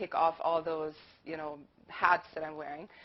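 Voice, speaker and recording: Here a woman speaks with a German accent. Her pitch is fairly low and her pace fairly quick. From Germany. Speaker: university lecturer. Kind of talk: panel talk.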